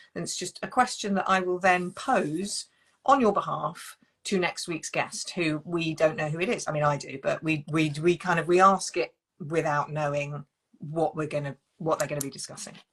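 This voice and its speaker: In a British accent, a woman speaks at a moderate pace with a fairly low pitch and ordinary pitch variation. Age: 50s. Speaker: relationship coach and live show host. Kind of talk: live-stream interview. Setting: online live stream.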